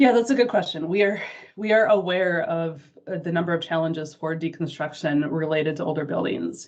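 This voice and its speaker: This woman talks at a fairly quick pace in a fairly low pitch. Her pitch moves with ordinary variation. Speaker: state agency sustainability administrator. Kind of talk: online meeting presentation. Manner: fast.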